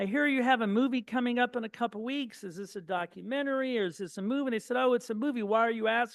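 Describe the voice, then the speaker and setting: The speech moves very fast with hardly any pauses. Pitch varies in an ordinary way. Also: man, extremely high pitch for a man. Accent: Midwestern American. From Indiana, Terre Haute. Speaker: speaker, son of Holocaust survivors. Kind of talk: public talk.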